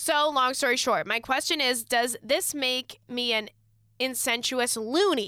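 A woman projects a raised voice with a bright, sharp tone, high pitch and ordinary pitch variation at a fairly slow pace. The sound is dry and close with no echo, in a very clean recording with a silent background. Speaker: podcast host. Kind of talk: casual chat.

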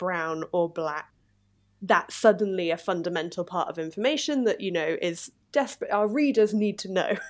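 A woman's unremarkable speaking voice at medium pitch, with ordinary pitch variation and a moderate pace, on a very clean recording with a silent background. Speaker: English teacher and podcast host. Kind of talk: interview-style conversation for English learners.

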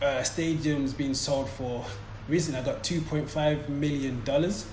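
A man with a fairly high pitch speaks with audible room echo. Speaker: sports podcast host. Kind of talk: interview. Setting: in London, noisy location.

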